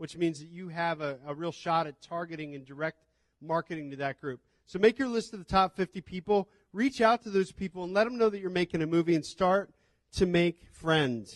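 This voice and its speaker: At a fairly quick pace, a man talks with a high pitch and big swings in loudness. The sound is dry and close with no echo, over a quiet background. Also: ordinary pitch variation. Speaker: film distribution panelist. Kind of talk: panel talk.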